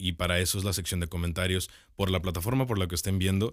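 Very fast, a man speaks at a very deep, low pitch. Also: very clean recording, silent background. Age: 20s. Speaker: podcast co-host. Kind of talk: casual chat.

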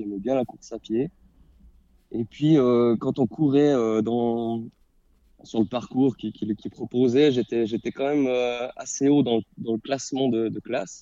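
A man's mid-pitched voice moves very slowly, his intonation staying mostly level. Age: 30s. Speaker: primary school teacher and amateur runner. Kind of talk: casual interview. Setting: remote call from his classroom in the evening.

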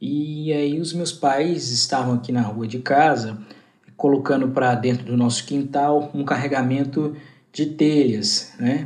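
Speaking at a fairly slow pace, a man uses a normal speaking voice, fairly high in pitch with fairly even intonation. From Goiânia, Brazil. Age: 20s. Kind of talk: interview answer.

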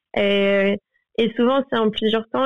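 The delivery comes at a fairly slow pace with fairly even intonation. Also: woman. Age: 20s. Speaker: painter. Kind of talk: interview.

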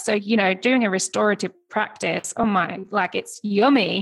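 Speaking at a moderate pace, a woman with a medium pitch shows ordinary pitch variation and some vocal fry. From UK. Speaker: podcast host. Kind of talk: interview chat.

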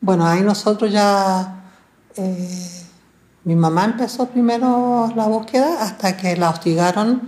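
At a very slow pace, a woman with a medium pitch speaks in a dark, mellow, somewhat breathy tone. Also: ordinary pitch variation. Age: 60s. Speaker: relative of disappeared victims, archivist. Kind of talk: testimony. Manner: halting, frequent fillers.

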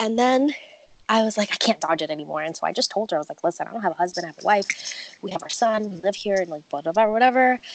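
A woman's very fast, medium-pitched speech in an American accent, with lively intonation, big swings in loudness, and noticeable background noise. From New York. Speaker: podcast guest. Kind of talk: casual chat.

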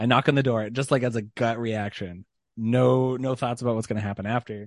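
Recorded with a dry, close sound with no echo and a quiet background, a man of medium pitch speaks at a very fast pace. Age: 30s. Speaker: podcast guest. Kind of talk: casual chat.

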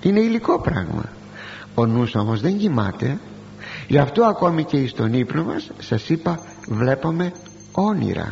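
Very wide pitch swings mark this fairly slow delivery, which has long, frequent pauses and noticeable background noise. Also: man, fairly high pitch for a man. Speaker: preacher. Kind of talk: sermon. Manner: formal.

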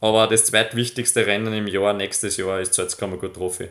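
At a moderate pace, a man with a fairly low pitch speaks with fairly even intonation in a very clean recording with a silent background. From Upper Austria, near Linz. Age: 20s. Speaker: professional mountain biker. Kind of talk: interview. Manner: halting, many repetitions.

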